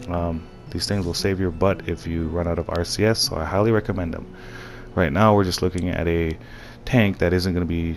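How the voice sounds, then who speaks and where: Here a man speaks at a fairly quick pace with ordinary pitch variation. His pitch is very deep and low. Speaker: gaming tutorial maker. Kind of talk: tutorial. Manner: fast; casual, halting.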